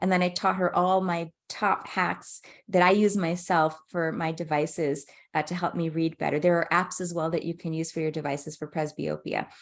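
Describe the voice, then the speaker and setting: Monotone, flat intonation comes through against a quiet background. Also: woman, fairly low pitch for a woman. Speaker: ophthalmologist presenting a webinar. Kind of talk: webinar presentation. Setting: online webinar. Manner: fast; halting with fillers.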